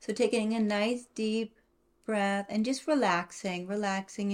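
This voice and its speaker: Fairly high-pitched and fairly slow, this woman has a plain, everyday voice. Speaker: podcast co-host, mother. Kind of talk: guided meditation. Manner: slow, soothing, repetitive; calm, gentle.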